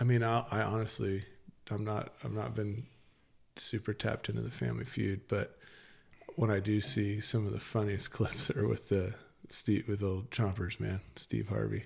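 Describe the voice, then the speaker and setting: Somewhat breathy speech at a moderate pace with ordinary pitch variation, very clean recording and a silent background. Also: man, fairly low pitch for a man. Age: 30s. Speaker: firefighter. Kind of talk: casual chat. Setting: studio.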